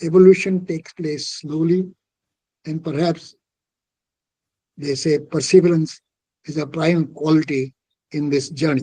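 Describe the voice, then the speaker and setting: A man's high-pitched voice with a dark, mellow tone, ordinary pitch variation and a fairly slow pace. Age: 80s+. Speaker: retired army general and author. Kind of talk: talk answering a question at a book event.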